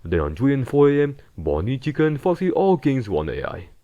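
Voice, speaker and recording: With a non-native accent and a dark, mellow tone, a man speaks at a moderate pace using very wide pitch swings against a quiet background. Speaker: gaming video essayist. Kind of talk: game analysis narration.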